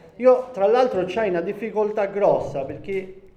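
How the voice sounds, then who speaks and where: Noticeable background noise sits behind a man with a high voice, lively intonation and a moderate pace. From Sicily, Valguarnera Caropepe (Gallo-Italic area). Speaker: sociology professor. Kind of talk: public lecture. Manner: halting, many fillers.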